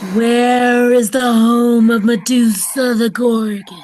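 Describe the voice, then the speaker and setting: A woman puts on a character voice with a fairly high pitch, speaking at a fairly slow pace in a flat monotone over clear background noise. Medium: read story. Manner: solemn, portentous.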